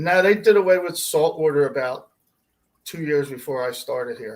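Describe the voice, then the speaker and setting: A man speaks at a moderate pace with an American accent, his pitch fairly high and his intonation lively. His loudness swings widely in an ordinary speaking voice. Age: 60s. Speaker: pet store fish department manager. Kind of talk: livestream interview.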